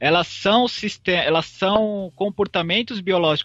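At a moderate pace, a man talks in a high pitch. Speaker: master's student in physiology. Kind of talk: podcast explanation.

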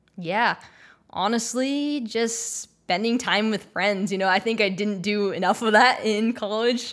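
A woman's fairly high-pitched, ordinary speaking voice, fairly slow in pace, with fairly even intonation. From Texas. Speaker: film and theatre composer. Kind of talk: interview.

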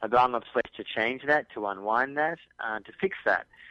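A man with an Australian accent, fairly even intonation and a bright, sharp tone. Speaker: journalist and author. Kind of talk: radio interview.

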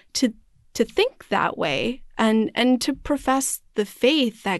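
Lively intonation and vocal fry from a woman with an American accent, in a quiet background. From US Midwest (Wisconsin, partly Arizona). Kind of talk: casual faith conversation.

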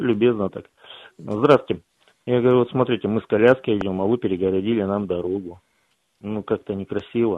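A fairly low-pitched man at a fairly quick pace, ordinary pitch variation, long and frequent pauses. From Krasnoyarsk. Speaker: caller. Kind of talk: casual chat. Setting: phone call.

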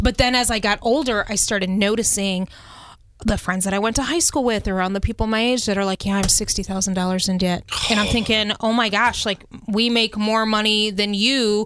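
A woman speaks at a fairly quick pace in an unremarkable speaking voice. Her fairly high pitch comes with fairly even intonation and very even loudness. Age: 40s. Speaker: podcast host and radio station staffer. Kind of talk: casual panel chat. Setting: studio.

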